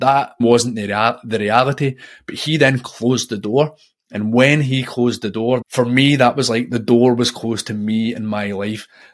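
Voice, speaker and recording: A man with a Scottish accent, medium pitch, fairly even intonation and a moderate pace. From Scotland. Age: 40s. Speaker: podcast host. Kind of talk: solo monologue about personal development. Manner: reflective, personal, conversational.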